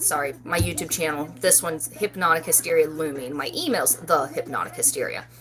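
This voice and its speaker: Someone speaks at a fairly quick pace with an American accent. Noticeable background noise runs underneath. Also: woman. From West Virginia, Parkersburg. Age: 40s. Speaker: loom knitting YouTuber. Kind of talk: casual live stream chat. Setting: live stream.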